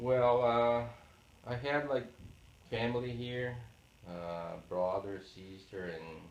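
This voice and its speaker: A man with a Portuguese accent, fairly low in pitch with ordinary pitch variation, at a very slow pace, amid audible room echo and noticeable background noise. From Brazil, Paraná. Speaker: oral history interviewee. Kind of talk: interview. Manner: halting, many fillers.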